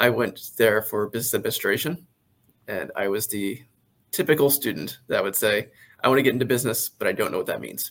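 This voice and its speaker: A man with an American accent and a normal speaking voice, at a medium pitch with ordinary pitch variation and a fairly quick pace. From Maryland, Carroll County. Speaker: business valuation expert. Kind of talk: interview.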